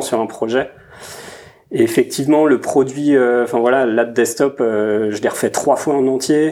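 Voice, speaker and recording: A man has an ordinary speaking voice at a medium pitch. He talks at a fairly slow pace with fairly even intonation. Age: 30s. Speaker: product designer. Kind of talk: casual chat.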